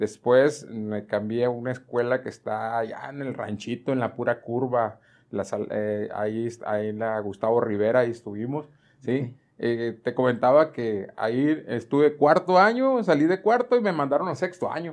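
This is an ordinary speaking voice, a man's at medium pitch with ordinary pitch variation. He keeps a moderate pace against a quiet background. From Mexico. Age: 60s. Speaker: retired school choir director; guest. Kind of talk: interview. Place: home room. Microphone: lapel.

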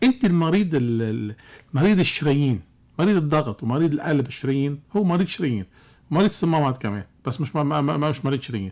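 A man's fairly high voice with lively intonation at a fairly quick pace. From Lebanon. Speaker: cardiologist; guest. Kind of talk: radio call-in medical advice. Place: studio. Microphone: studio mic.

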